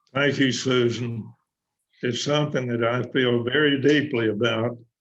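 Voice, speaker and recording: Over audible room echo, a man with a Texan accent talks at a medium pitch with monotone, flat intonation. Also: moderate pace. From West Texas. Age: 90s. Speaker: war veteran. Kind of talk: interview. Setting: video call.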